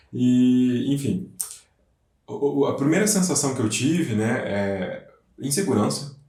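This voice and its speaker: Speaking very slowly with long, frequent pauses, a man at medium pitch uses lively intonation and very even loudness amid audible room echo. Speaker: English teacher. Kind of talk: casual chat.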